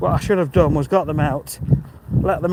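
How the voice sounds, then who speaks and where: A man talks at a moderate pace in a high pitch over noticeable background noise. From English East Midlands, Mansfield near Nottingham. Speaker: vlogger. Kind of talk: live-stream walk and talk, reading chat. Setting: outdoors walking, live stream. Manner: casual, chatty.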